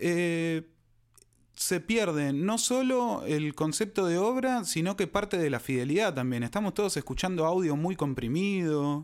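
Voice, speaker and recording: This man has a high pitch and lively intonation. He talks at a fairly slow pace. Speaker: podcast co-host. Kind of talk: casual chat.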